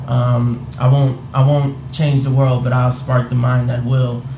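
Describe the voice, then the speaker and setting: Over noticeable background noise, a man talks in a flat monotone. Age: 20s. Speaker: podcast co-host. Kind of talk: casual chat.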